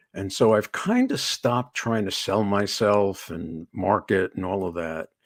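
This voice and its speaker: A man speaks in a normal speaking voice. His pitch is fairly low with ordinary variation. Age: 60s. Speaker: executive coach. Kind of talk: interview. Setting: live online show.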